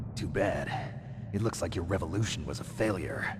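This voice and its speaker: Over loud background noise, a man puts on a character voice at a fairly low pitch and a moderate pace. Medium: video game. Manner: terse, guarded.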